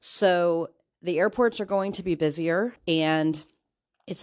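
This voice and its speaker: A woman with a fairly low pitch and ordinary pitch variation speaks at a fairly slow pace. The background is quiet. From US Midwest, Northwest Indiana. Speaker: podcast host. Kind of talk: casual monologue. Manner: chatty, laughing often.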